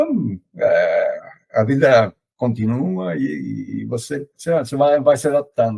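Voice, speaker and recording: A man with an Argentine accent speaks very slowly in a dark, mellow, somewhat breathy tone. The sound is dry and close, with no echo. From Argentina. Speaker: logistics consultant. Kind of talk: interview. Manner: hesitant, many fillers.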